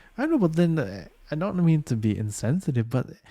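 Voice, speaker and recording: Somewhat breathy and dark, mellow in tone, a man speaks at a fairly quick pace with very wide pitch swings. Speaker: podcast co-host. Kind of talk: casual chat. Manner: animated.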